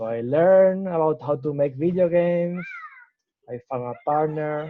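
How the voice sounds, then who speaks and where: Fairly slowly and with ordinary pitch variation, a man with a fairly high voice speaks in a Spanish accent. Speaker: startup founder. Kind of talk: interview. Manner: halting.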